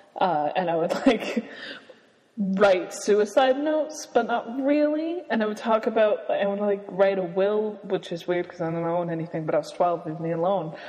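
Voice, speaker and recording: A woman uses lively intonation over noticeable background noise. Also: medium pitch for a woman, moderate pace. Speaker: podcast co-host. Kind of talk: casual chat. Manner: soft-spoken.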